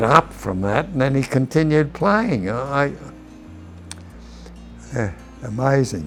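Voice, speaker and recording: Music plays in the background as a man speaks with an Australian accent. He talks at a fairly slow pace with ordinary pitch variation. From Sydney, Australia. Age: 80s+. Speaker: retired rugby league player. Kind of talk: interview answer.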